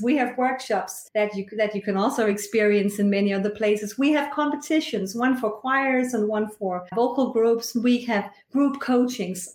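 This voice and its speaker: A woman's fairly high voice in a Danish accent, at a moderate pace with ordinary pitch variation. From rural Denmark. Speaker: choir conductor and singing teacher. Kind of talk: interview.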